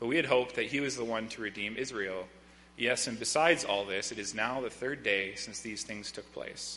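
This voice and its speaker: A man with an ordinary speaking voice talks at a fairly quick pace, his medium pitch showing ordinary pitch variation. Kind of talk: reading aloud. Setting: church.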